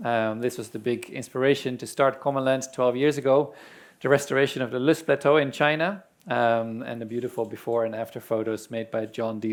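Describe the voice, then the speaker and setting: Speaking with a Dutch accent at a fairly quick pace, a man keeps a medium pitch and fairly even intonation on a very clean recording with a silent background. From Netherlands. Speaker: land restoration organization representative. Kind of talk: conference presentation.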